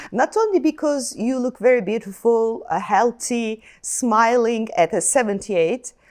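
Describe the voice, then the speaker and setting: A woman with a Turkish accent speaks at a fairly slow pace with lively intonation. Her pitch is fairly high, and the recording is very clean with a silent background. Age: 50s. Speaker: TV interviewer. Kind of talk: interview.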